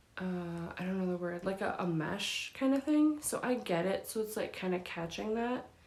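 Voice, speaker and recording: Soft-spoken and with lively intonation, this voice comes through over noticeable background noise. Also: woman, fairly high pitch for a woman, moderate pace. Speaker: YouTuber. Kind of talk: casual vlog unboxing. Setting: home recording, daytime window light.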